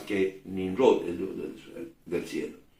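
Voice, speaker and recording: Heard in audible room echo, a man speaks at a very slow pace. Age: 60s. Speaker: preacher. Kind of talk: sermon. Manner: halting.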